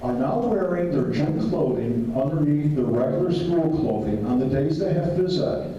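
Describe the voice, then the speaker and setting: A man talks at a moderate pace with lively intonation, with audible room echo and noticeable background noise. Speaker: speaker at a political meeting. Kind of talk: public talk.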